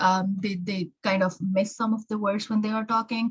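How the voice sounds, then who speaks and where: Somewhat breathy and medium-pitched, a woman with an American accent talks at a fairly slow pace with ordinary pitch variation. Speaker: exam prep tutor. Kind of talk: tutorial. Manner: hesitant, many fillers.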